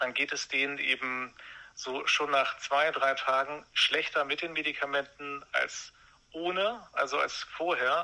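Noticeable background noise sits behind a man whose fairly high voice keeps a fairly even intonation. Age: 40s. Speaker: former brain researcher advising on medication withdrawal. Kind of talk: interview.

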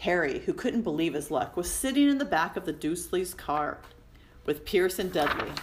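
The voice here is an unforced reading voice.

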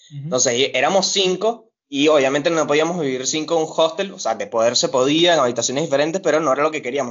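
A man with a normal speaking voice talks at a fairly quick pace and a fairly high pitch. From Venezuela, Caracas area. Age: 20s. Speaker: barista. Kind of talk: casual interview. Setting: video call.

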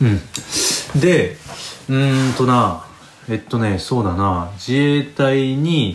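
A man at a medium pitch with lively intonation and very even loudness, at a very slow pace, amid audible room echo and noticeable background noise. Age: 30s. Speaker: podcast host, guesthouse owner. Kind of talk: casual solo monologue. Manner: relaxed, rambling with many fillers.

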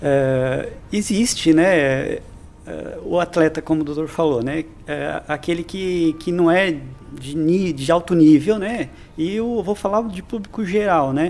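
Here a man speaks at a high pitch with ordinary pitch variation. His delivery is very slow. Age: 50s. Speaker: physical education instructor. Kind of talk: casual interview.

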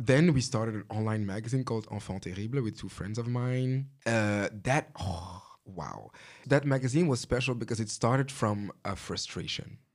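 A man with an ordinary speaking voice talks at a medium pitch and a moderate pace, with ordinary pitch variation. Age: 30s. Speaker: fashion stylist. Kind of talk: casual chat.

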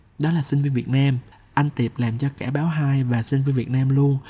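A man talks in a plain, everyday voice with a fairly high pitch. His pace is moderate and his intonation fairly even. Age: 20s. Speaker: podcast host and copywriter. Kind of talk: personal storytelling monologue.

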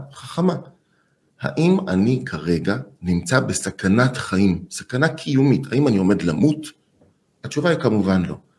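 Speaking fairly slowly, a man with a medium pitch shows vocal fry and very wide pitch swings. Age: 50s. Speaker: anger management expert. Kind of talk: interview.

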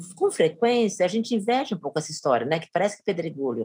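Somewhat breathy and dark in tone, a woman's mellow voice moves through very wide pitch swings. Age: 60s. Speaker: university professor and researcher. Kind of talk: interview conversation.

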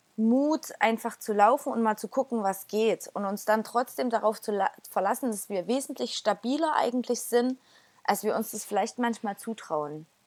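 This woman has a plain, everyday voice, fairly high in pitch with ordinary variation, at a moderate pace, captured in a dry, close sound with no echo on a very clean recording with a silent background. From Erzgebirge, Saxony, Germany. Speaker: church community member. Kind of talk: casual chat.

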